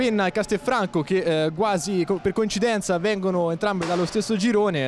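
Over noticeable background noise, the speaker talks at a fairly quick pace in an animated, excited tone. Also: man. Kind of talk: live sports commentary. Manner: fast, excited play-by-play delivery; animated, rising to shouted goal calls.

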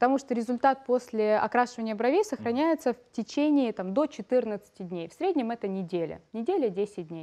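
Against a quiet background, a woman with a fairly high pitch and a dark, mellow tone speaks at a moderate pace with lively intonation, hardly any pauses and big swings in loudness. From Ukraine, Odesa; Ukraine. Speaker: makeup and brow artist, trainer; trainer. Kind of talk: TV studio interview. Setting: TV studio. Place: studio. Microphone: headset.

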